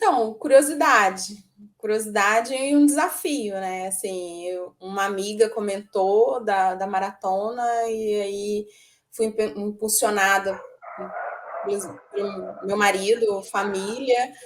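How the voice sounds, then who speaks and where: A woman speaks at a medium pitch. Her pace is very slow, with ordinary pitch variation. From Minas Gerais, Brazil. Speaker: amateur marathon runner. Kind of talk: interview.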